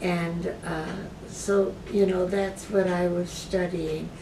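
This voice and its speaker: With an American accent, a woman speaks very slowly in a fairly low, monotone, flat voice, with audible room echo and noticeable background noise. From US Midwest, Michigan. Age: 80s+. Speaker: patient and retired philosophy professor. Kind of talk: interview. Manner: halting, many fillers.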